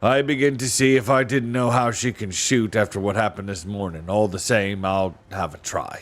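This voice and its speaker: In a put-on character voice, a man sounds gruff and fairly low-pitched, keeping a moderate pace. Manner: grudging but interested.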